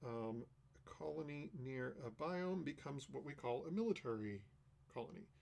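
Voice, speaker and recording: With an unremarkable speaking voice, a man talks at a moderate pace, his fairly high pitch carried by lively intonation. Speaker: game designer streaming a playtest. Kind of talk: solo live stream playtest narration. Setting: live stream.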